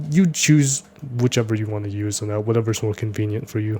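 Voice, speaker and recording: The man's fairly low voice has a dark, mellow tone and comes out somewhat breathy. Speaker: 3D modeling tutorial creator. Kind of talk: tutorial. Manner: fast; casual, with filler words.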